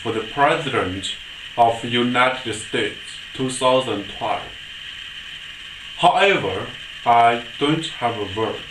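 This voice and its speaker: A very slow delivery, with clearly audible noise in the background. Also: man. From China. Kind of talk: political address to camera.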